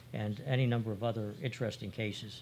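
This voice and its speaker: A man talks in a fairly low pitch with fairly even intonation. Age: 70s. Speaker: retired accounting partner and expert witness. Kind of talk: interview.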